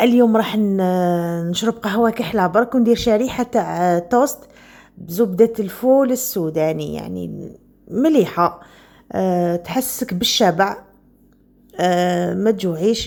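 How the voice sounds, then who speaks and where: This woman talks at a very slow pace with ordinary pitch variation. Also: medium pitch for a woman. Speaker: vlogger. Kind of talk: casual vlog talk.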